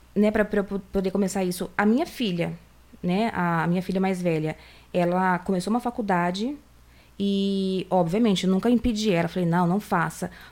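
This is a plain, everyday voice at a moderate pace. Its loudness is very even, and its intonation fairly even. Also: woman, medium pitch for a woman. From Brazil, Campinas (São Paulo state). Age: 40s. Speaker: eyelash extension professional. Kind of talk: casual interview chat.

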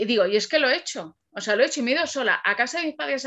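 The speech is very fast, raised and projected. The tone is bright and sharp, and the intonation lively. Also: woman. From Alcalá de Henares, Madrid region, Spain. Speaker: copywriter. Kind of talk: casual interview. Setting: video podcast.

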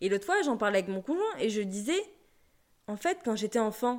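On a very clean recording against a silent background, a woman speaks in a fairly high voice. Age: 20s. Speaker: podcast host, personal development coach. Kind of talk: solo podcast monologue.

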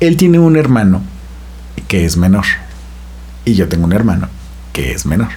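A man speaks with a very deep, low pitch, swinging very widely up and down at a moderate pace with long, frequent pauses. Noticeable background noise and audible room echo fill the recording. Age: 30s. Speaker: podcast guest. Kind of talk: casual interview.

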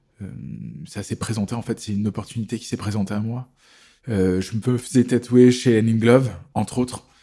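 A man's medium-pitched voice, dark and mellow in tone, at a fairly quick pace with long, frequent pauses and fairly even intonation. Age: 40s. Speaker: tattoo artist. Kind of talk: casual chat.

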